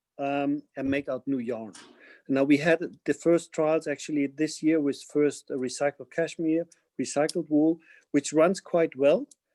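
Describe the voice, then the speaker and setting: A man with a German accent, fairly high in pitch yet dark and mellow in tone, fairly slow and fairly even, with a dry, close sound and no echo. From Germany, Bavaria (Munich). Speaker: fashion company CEO. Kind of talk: webinar interview.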